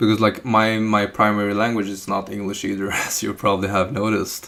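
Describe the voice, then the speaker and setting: Fairly quick, monotone, flat speech amid noticeable background noise. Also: man, fairly low pitch for a man. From Norway. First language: Chinese and Norwegian. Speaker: live streamer doing coding practice. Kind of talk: live stream chat while coding. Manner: halting, with fillers and restarts.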